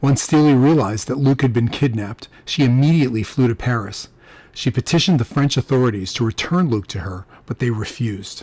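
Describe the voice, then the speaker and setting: Somewhat breathy and medium in pitch, a man's voice moves at a fairly quick pace with ordinary pitch variation. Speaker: audiobook narrator. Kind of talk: audiobook narration, first-person crime fiction.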